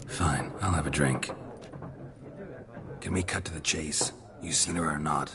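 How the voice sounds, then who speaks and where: This man puts on a character voice pitched very deep and low. He talks at a moderate pace over clear background noise. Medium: machinima. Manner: terse, flat, low-key.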